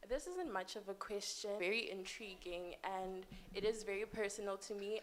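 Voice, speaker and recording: Her pitch is medium and her pace moderate. This woman speaks with monotone, flat intonation. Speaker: audience member asking a question. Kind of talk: conference Q&A comment. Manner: soft-spoken.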